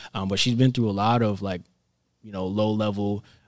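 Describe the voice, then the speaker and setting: A man's ordinary speaking voice with an American accent, fairly low in pitch, with fairly even intonation on a very clean recording with a silent background. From Florida. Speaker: entrepreneur and personal development coach. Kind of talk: podcast interview.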